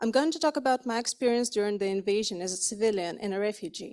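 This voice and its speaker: A woman with a Ukrainian accent and lively intonation. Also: very clean recording, silent background. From Ukraine. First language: Ukrainian or Russian. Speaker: refugee, psychologist. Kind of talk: testimony read from a prepared speech.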